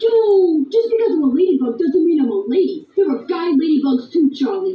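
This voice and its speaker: An extremely high, put-on character voice at a fairly quick pace. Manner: tough, streetwise.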